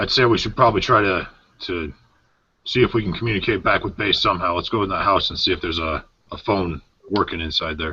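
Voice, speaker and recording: Using a put-on character voice, a man talks very fast in a raspy, fairly low register. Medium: actual play.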